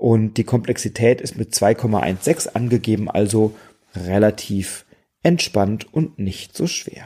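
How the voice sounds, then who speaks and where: Speech unfolds very slowly here. Its tone is dark and mellow, with ordinary pitch variation. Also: man, fairly low pitch for a man. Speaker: board game podcaster. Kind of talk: solo podcast monologue. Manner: relaxed.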